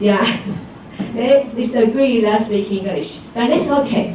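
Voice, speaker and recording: Fairly high in pitch, a woman with a Taiwanese accent speaks at a fairly slow pace with lively intonation, amid audible room echo and noticeable background noise. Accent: Taiwanese Mandarin-accented English. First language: Mandarin Chinese. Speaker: English teacher. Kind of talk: conference presentation. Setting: lecture hall with audience. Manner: halting, frequent fillers and self-corrections.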